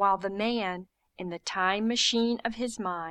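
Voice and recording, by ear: The background stays quiet. A natural voice reads text aloud.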